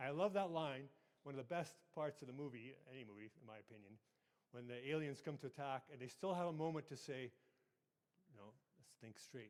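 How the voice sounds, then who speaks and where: A man with a western Canadian accent speaks at a fairly high pitch and a fairly quick pace, with ordinary pitch variation. His loudness swings widely, and he takes long, frequent pauses. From Canada, southern Alberta. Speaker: IT manager and conference speaker. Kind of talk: conference presentation. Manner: fast; conversational, hesitant fillers.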